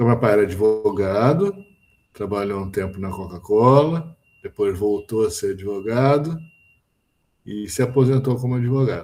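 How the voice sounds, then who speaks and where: Speaking at a moderate pace with long, frequent pauses, a man uses a medium pitch and ordinary pitch variation. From Brazil, Rio de Janeiro. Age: 60s. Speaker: physicist, professor. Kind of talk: interview. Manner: hesitant, with fillers.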